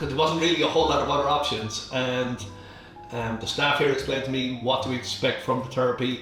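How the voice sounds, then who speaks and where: With audible room echo and music in the background, a man with an Irish accent talks at a fairly quick pace in a medium pitch. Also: fairly even intonation. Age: 60s. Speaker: clinic client. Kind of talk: testimony.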